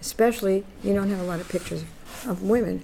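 In a New York accent, a woman talks in a medium pitch over noticeable background noise. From New York City (Bronx). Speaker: feminist activist and collector. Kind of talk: interview.

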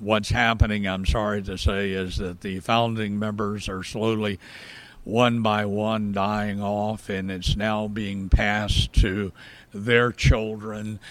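The speaker talks very slowly in an American accent, the intonation monotone and flat. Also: man, fairly low pitch for a man. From US South, rural South Georgia. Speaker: historian. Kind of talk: interview.

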